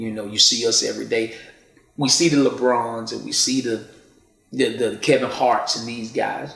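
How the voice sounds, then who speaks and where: The speaker is a man with a medium pitch and vocal fry. He keeps a moderate pace. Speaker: poet and spoken word artist. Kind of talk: interview answer. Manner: casual, earnest.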